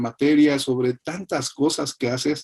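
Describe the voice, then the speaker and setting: A man talks at a fairly slow pace with a fairly high pitch. His tone is dark and mellow, and the sound is dry and close with no echo. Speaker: interview host. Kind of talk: interview host talk.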